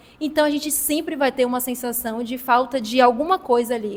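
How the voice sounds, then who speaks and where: Talking at a fairly quick pace, a woman with a high pitch and ordinary pitch variation comes through over noticeable background noise. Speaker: discussion facilitator. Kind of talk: group talk. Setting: hostel gathering.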